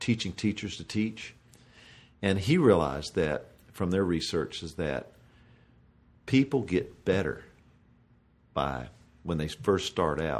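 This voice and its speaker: Over a silent background in a very clean recording, a man with a very deep, low voice and vocal fry talks at a moderate pace with lively intonation, leaving long, frequent pauses. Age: 50s. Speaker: professional golfer. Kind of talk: casual chat.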